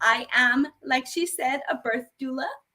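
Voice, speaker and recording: The voice is raised and projected, moving at a fairly slow pace with fairly even intonation. Music plays in the background. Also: woman. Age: 30s. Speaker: birth doula and yoga teacher. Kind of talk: panel conversation.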